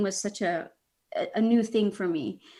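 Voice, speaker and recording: A woman talks in a Philippine accent. Her tone is bright and sharp. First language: Bisaya. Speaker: children's author and activist. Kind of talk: interview conversation. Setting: video call. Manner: halting, many fillers.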